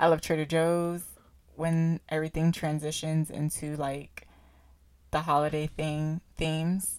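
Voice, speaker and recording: In a very clean recording with a silent background, a woman speaks at a fairly slow pace. Her very deep, low voice stays monotone and flat. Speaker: podcast co-host. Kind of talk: casual chat.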